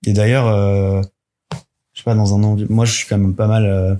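Somewhat breathy, a man speaks at a fairly low pitch in a monotone, flat intonation. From Paris region, France (Yvelines). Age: 30s. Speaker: engineer, friend of the host. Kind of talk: casual interview chat. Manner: hesitant, many fillers.

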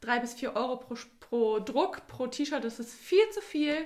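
A woman is speaking. Her pitch is high. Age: 20s. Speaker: clothing label founder. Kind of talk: interview.

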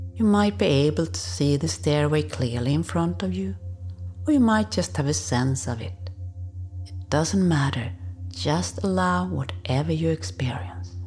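A gentle, soothing tone at a fairly slow pace, with noticeable background noise. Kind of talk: guided hypnosis induction and relaxation meditation. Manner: slow, soft, soothing, calm and unhurried with long pauses; gentle, hypnotic, coaxing and permissive.

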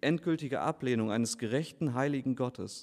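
This man talks at a fairly quick pace in an ordinary speaking voice. His pitch is medium and his intonation fairly even. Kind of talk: baptism sermon. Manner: earnest, persuasive preacher's tone, direct appeals to the listeners.

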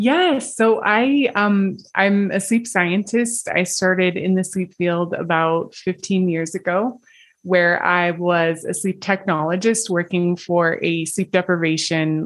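An unremarkable speaking voice from a woman with an American accent, medium in pitch with ordinary pitch variation, at a fairly slow pace, in a very clean recording over a silent background. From US. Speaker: sleep scientist. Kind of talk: interview.

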